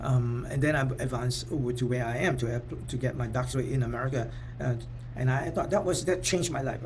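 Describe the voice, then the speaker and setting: A man speaking at a fairly quick pace, with audible room echo. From Singapore. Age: 60s. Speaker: professor and motivational speaker. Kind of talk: talk. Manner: halting, repetitive fillers.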